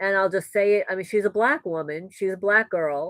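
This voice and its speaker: On a very clean recording with a silent background, a woman with a New York accent speaks at a medium pitch with ordinary pitch variation, the sound dry and close with no echo. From New York, the Bronx. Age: 60s. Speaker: homesteading vlogger. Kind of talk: live stream Q&A chat.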